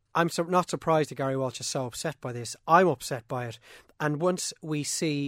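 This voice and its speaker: In an Irish accent, a man with a fairly high voice and ordinary pitch variation talks at a fairly quick pace on a very clean, silent-background recording with a dry, close sound and no echo. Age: 30s. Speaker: sports podcast host. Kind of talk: casual sports discussion podcast.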